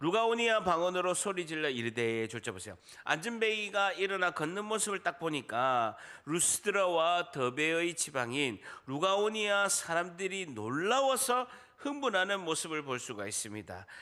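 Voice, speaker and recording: On a very clean recording with a silent background, a man with a high pitch and a bright, sharp tone speaks at a moderate pace, his pitch swinging very widely. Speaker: pastor. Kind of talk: sermon.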